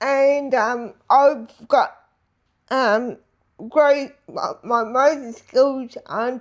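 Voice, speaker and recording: Using a high pitch and fairly even intonation, a woman with an Australian accent talks very slowly, with long, frequent pauses. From Australia, Geelong. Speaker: Paralympian. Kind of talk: interview. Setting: her apartment. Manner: halting.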